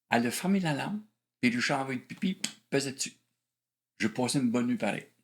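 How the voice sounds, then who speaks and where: A man with a medium pitch speaks very fast, his intonation lively. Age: 60s. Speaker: former police officer sharing testimony. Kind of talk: testimony. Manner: halting.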